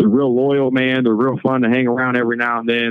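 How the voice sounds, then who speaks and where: A man talks at a very fast pace in a medium pitch. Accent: American. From St. Louis, Missouri. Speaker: convicted murderer, prison inmate. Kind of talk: interview testimony. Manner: casual, halting with fillers.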